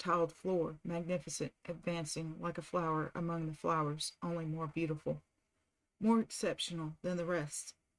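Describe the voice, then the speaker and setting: A woman with an American accent speaks at a moderate pace in a fairly low voice. The recording is very clean, with a silent background. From southern United States. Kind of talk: audiobook reading, relaxing. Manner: soft-spoken, calm.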